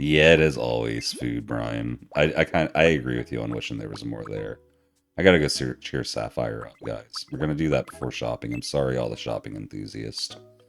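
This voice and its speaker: Over music in the background, a man talks at a fairly quick pace in a very deep, low voice, with ordinary pitch variation and big swings in loudness. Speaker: livestreamer, gamer. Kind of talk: casual live-stream chat.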